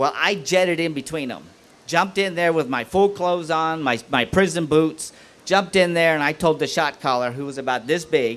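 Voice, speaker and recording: Using an ordinary speaking voice, a man talks at a moderate pace and fairly high pitch with ordinary pitch variation. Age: 60s. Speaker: former prisoner, guest speaker. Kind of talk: testimony.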